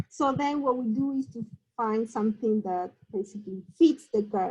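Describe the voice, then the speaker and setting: With a Spanish accent, a woman speaks fairly slowly in a fairly high pitch, her intonation lively. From Argentina. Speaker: mathematician. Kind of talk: lecture. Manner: halting.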